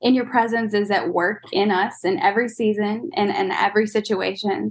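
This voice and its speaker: A plain, everyday voice with fairly even intonation is heard against a quiet background. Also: woman. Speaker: church member, prayer guest. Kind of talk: fervent prayer, earnest spoken prayer. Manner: earnest, heartfelt, sincere.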